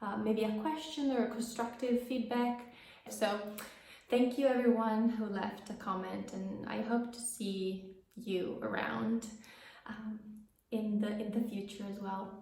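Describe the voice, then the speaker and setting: A woman speaks with an Italian accent and a fairly high pitch. Room echo and noticeable background noise can be heard. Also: fairly even intonation, fairly slow pace. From Italy. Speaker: knitting podcaster. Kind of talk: casual vlog chat. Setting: home office. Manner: slow; hesitant, many fillers.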